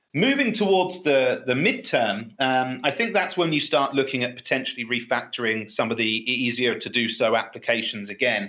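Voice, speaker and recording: In a British accent, a man of medium pitch talks at a moderate pace with ordinary pitch variation. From UK. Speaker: technical expert on a webinar panel. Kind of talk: webinar panel discussion.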